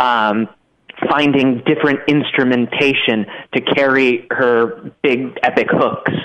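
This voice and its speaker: A man's medium-pitched voice at a very slow pace, with very even loudness and fairly even intonation. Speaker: staff writer. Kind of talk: casual chat.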